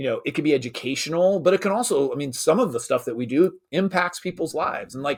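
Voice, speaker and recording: An energetic man at a fairly high pitch, lively intonation and a very fast pace, in a very clean recording with a silent background. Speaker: creator of an online school for dads, internet marketer. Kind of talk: interview conversation.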